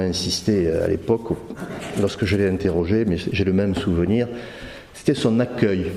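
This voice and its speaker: Over noticeable background noise, a man with a southern French accent speaks at a moderate pace in a fairly low voice, with ordinary pitch variation. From southern France, Carcassonne / Narbonne area. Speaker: conference speaker giving testimony. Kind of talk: testimony. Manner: halting, many hesitations.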